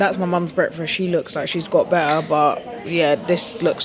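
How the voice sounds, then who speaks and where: A woman with a fairly low voice and ordinary pitch variation talks over crowd noise, with audible echo from the room. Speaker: travel vlogger. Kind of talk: vlog to camera. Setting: airport lounge.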